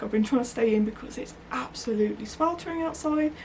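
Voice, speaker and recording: With noticeable background noise around her, a woman speaks at a moderate pace, her fairly high pitch showing ordinary variation. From West Midlands, England. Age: 30s. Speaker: crafting vlogger. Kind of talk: casual vlog chat. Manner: hesitant, many fillers.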